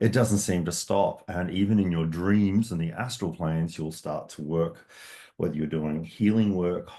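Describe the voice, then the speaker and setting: With an Australian accent, a man speaks in a dark, mellow tone at a very deep, low pitch with ordinary pitch variation. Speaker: metaphysics teacher. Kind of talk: online course introduction. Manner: fast.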